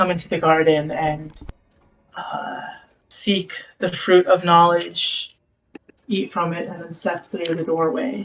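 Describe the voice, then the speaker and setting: In a raspy, put-on character voice at a middle pitch, the speaker goes at a fairly slow pace with long, frequent pauses. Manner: shadowy.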